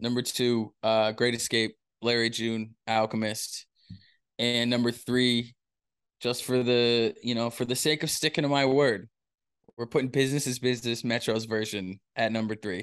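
Against a quiet background, a man speaks in an ordinary speaking voice at medium pitch and a moderate pace, with fairly even intonation. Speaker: podcast co-host. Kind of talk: casual chat, music reaction podcast.

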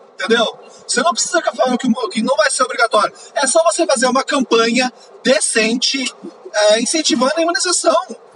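A man uses a raised, projected voice at an extremely high pitch. Music plays in the background. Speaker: podcaster. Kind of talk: angry rant about politics, swearing at the government and vaccine policy. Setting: in a car, driving, poor audio quality. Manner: heated, exasperated, loud and emphatic, punchy rhetorical questions; casual, chatty, informal slang.

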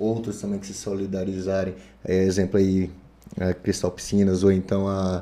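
In a very deep, low voice, a man speaks at a moderate pace with monotone, flat intonation. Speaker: fitness coach. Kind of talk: casual chat.

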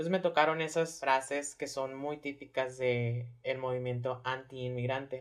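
The speech moves at a moderate pace with hardly any pauses. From Hermosillo, Sonora, Mexico. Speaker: drag performer. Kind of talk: casual interview chat.

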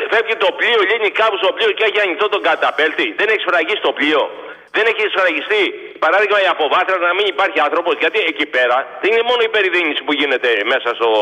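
A man rattles along at a very fast pace in a high pitch with lively intonation, amid noticeable background noise. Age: 60s. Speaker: caller, former truck driver. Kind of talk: phone-in call.

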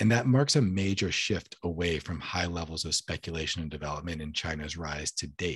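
A man speaks in a very deep, low pitch with ordinary pitch variation. His voice is somewhat breathy. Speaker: podcast host. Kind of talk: casual chat. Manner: casual, conversational.

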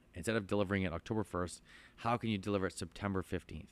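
In a very clean recording with a silent background, a man with an Ontario accent speaks at a fairly low pitch with fairly even intonation. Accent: Canadian (Ontario). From southern Ontario, Canada. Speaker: farmer and plant nursery owner. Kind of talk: casual interview. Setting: inside a greenhouse on a farm. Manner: halting, many fillers and repetitions.

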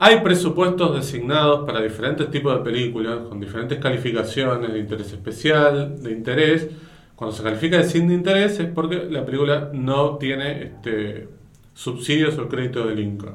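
Audible room echo surrounds a man's voice. He speaks at a moderate pace with lively intonation. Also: medium pitch for a man. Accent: Rioplatense. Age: 40s. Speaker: podcast host, film critic. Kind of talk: casual chat.

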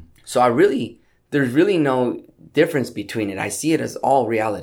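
Here a man with an American accent talks at a fairly quick pace and a medium pitch, with some vocal fry. His pitch swings very widely, and the recording is very clean with a silent background. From Southern California, South Gate near Compton. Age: 30s. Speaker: rapper and businessman. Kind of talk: interview chat. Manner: hesitant, many fillers.

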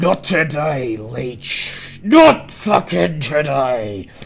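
A man's bellowing, put-on character voice at medium pitch, very slow in pace, with light background noise. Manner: roaring.

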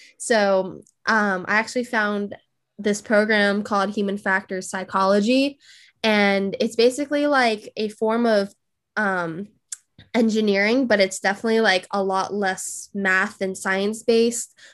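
In an American accent, a woman with an unremarkable speaking voice of medium pitch talks fairly slowly on a very clean recording with a silent background. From California. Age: 20s. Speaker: engineering psychologist and self-taught designer. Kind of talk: casual interview chat.

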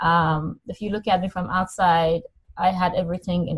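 In a dry, close sound with no echo, a somewhat breathy woman speaks at a moderate pace and a medium pitch. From Middle East, Iranian parents. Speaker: life coach. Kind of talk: interview. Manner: halting, many fillers.

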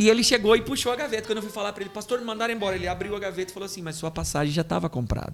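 A man with a high pitch and ordinary pitch variation rushes at a very fast pace with hardly any pauses, his loudness swinging widely over noticeable background noise. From Brazil, interior of São Paulo state (Caçapava). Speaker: pastor and missionary. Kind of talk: interview testimony.

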